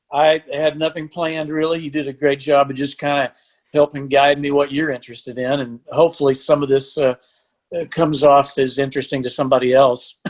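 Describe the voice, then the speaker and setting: Against a quiet background, a man with a Texan accent and a fairly high pitch speaks at a fairly quick pace in a monotone, flat intonation. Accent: Texan Southern US. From Texas (Lampasas, central Texas). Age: 60s. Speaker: country musician and songwriter. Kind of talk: casual interview chat.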